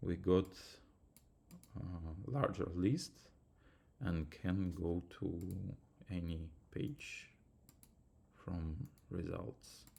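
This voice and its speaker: In a non-native accent, a man with a very deep, low, dark and mellow voice that is somewhat breathy talks at a very slow pace with long, frequent pauses and ordinary pitch variation. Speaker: student. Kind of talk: tutorial. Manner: halting.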